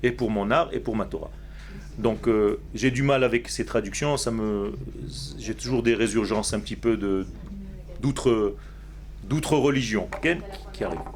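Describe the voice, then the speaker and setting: Noticeable background noise and audible room echo around a man with an Israeli accent, speaking at a fairly slow pace with long, frequent pauses. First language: Hebrew (speaking French). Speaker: rabbi teacher. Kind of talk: religious lecture. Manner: slow, structured; halting, repeats words.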